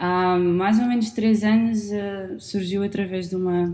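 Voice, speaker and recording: Moderate pace, a European Portuguese accent and fairly even intonation. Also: woman. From Portugal. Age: 20s. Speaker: podcast host. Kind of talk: podcast conversation. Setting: studio microphone recording. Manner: halting, many fillers.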